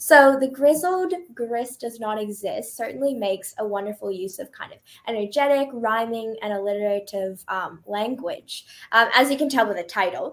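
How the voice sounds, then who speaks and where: An ordinary speaking voice from a woman with a Canadian accent, fairly high pitch, lively intonation, big swings in loudness and a moderate pace. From Canada. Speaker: radio host. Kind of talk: interview.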